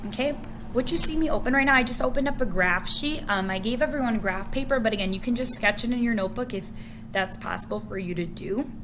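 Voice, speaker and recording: The speaker talks at a very fast pace with ordinary pitch variation. Audible room echo and noticeable background noise fill the recording. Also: woman. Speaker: math teacher. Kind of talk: tutorial. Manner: casual.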